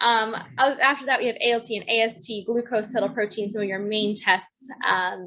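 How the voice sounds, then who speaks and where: A woman talks at a fairly high pitch. Noticeable background noise is audible behind her. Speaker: startup founder. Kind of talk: pitch presentation. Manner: fast.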